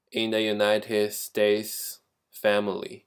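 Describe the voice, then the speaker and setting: On a very clean recording with a silent background, a man with a Chinese accent speaks at a very slow pace. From China. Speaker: graduate student. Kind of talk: class presentation. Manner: halting, with fillers.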